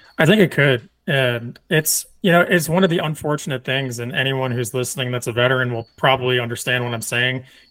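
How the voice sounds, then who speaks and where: This man has a normal speaking voice with an American accent, medium in pitch with ordinary variation. He talks at a fairly quick pace with hardly any pauses. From US Northeast. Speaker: Marine veteran and hunter. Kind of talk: casual interview.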